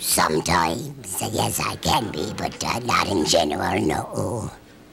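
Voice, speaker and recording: A raspy, put-on character voice in a very deep, low pitch speaks at a fairly slow pace. Clear background noise runs underneath. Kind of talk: game show answers. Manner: disguised. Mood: playful, coy.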